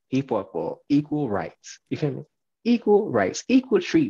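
Over a quiet background, a man talks at a moderate pace in a dark, mellow tone. His voice is somewhat breathy, with very wide pitch swings. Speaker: podcast co-host. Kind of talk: casual podcast rant. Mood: annoyed but joking. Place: home room. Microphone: headset.

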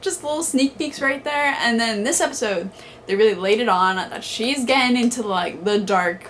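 The voice makes very wide pitch swings at a moderate pace. Light background noise runs underneath. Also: woman. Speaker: vlogger. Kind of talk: casual vlog chat, episode reaction. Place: home room. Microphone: camera far.

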